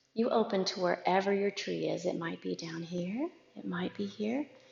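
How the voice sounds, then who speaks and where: This is a woman speaking. Her tone is calm and gentle. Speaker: yoga instructor. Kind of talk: guided yoga class. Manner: calm, gentle; soft-spoken.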